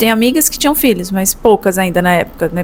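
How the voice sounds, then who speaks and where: Over noticeable background noise, a woman with a São Paulo accent talks at a fairly quick pace with lively intonation. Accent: São Paulo Brazilian Portuguese. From São Paulo, Brazil. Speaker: business consultant. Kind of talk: educational talk to camera. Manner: casual, conversational.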